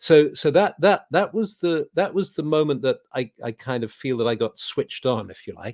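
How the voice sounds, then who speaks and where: A man at a moderate pace with a southern English accent, in a dry, close sound with no echo. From England. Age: 70s. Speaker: druid leader and spiritual teacher. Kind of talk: interview. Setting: video call. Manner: halting, with many repetitions.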